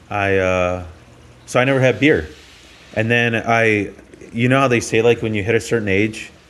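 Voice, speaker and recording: A man with a fairly low pitch speaks at a moderate pace with ordinary pitch variation. Long, frequent pauses break up his speech, and audible room echo surrounds it. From US, raised in Polish immigrant household. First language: Polish. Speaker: comedian. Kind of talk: casual chat.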